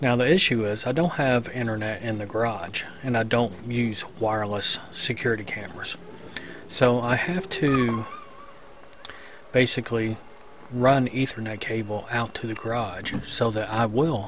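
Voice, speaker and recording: Fairly slow speech, dry with no echo, amid noticeable background noise. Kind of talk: casual tutorial narration.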